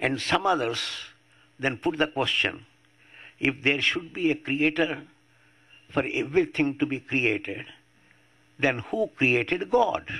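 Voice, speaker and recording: Over a quiet background, a man with a fairly high pitch and a bright, sharp tone talks at a fairly slow pace, leaving long, frequent pauses. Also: ordinary pitch variation. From India. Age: 80s+. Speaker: atheist activist. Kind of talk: public talk. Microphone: podium.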